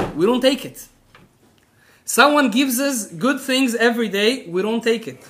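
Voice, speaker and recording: With an Israeli accent, a man projects a raised voice at an extremely high pitch, his tone bright and sharp, his intonation lively, his pace moderate, and audible echo in the room. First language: Hebrew. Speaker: rabbi. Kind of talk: lecture. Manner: animated.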